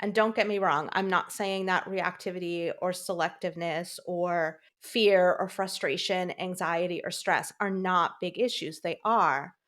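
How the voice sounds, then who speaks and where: Over a very clean recording with a silent background, a woman with a plain, everyday voice talks at medium pitch and a fairly slow pace. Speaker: dog trainer, podcast co-host. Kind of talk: casual podcast conversation.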